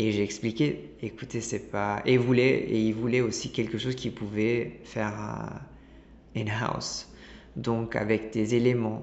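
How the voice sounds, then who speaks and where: Fairly even intonation marks speech delivered at a fairly slow pace. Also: man, medium pitch for a man. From Italy, Milan. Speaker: designer and ceramicist. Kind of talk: interview. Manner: halting, many repetitions.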